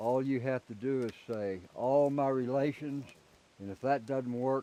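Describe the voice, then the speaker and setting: The man's voice has a dark, mellow tone. He speaks at a fairly slow pace. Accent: American. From Oklahoma, US. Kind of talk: interview testimony.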